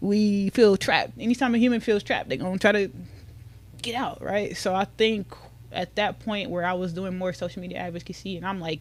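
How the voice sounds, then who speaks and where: Here a woman speaks in an unremarkable speaking voice at a medium pitch. Her pace is fairly quick and her pitch varies in an ordinary way. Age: 20s. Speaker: social media mental health advocate. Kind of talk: casual chat.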